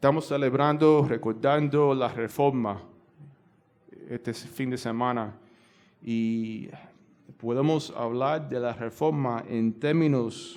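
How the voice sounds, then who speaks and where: A man speaks very slowly in a Cuban accent, with long, frequent pauses and fairly even intonation. Audible room echo fills the recording. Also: medium pitch for a man. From United States. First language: English (speaking Spanish). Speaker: pastor. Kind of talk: sermon. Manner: halting, many fillers.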